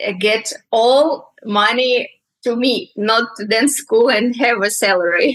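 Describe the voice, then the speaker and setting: A woman with a Russian accent, fairly high pitch, ordinary pitch variation, very even loudness and a very slow pace. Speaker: dancer, dance teacher. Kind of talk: casual interview chat. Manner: halting, hesitant.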